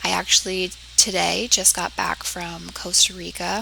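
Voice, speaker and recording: The woman talks while noticeable background noise carries on. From US Northeast, southeastern Connecticut. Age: 20s. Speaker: public health student. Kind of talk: class self-introduction video.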